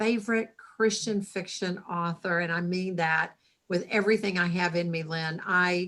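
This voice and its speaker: A woman with an American accent talks at a moderate pace and a medium pitch. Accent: Southern, a little thicker lately. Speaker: writing organization president and novelist. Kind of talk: casual video interview.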